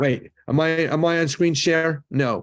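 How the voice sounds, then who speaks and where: This man talks with a slight Canadian accent. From Canada. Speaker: rabbi and lecturer on the afterlife. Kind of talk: lecture.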